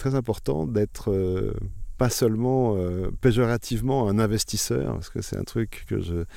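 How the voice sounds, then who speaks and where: A dark, mellow tone at a fairly slow pace with lively intonation on a very clean recording with a silent background. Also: man. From France, Bourbonnais (Allier). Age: 50s. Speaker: new vineyard owner. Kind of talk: interview. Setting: outdoors in a vineyard.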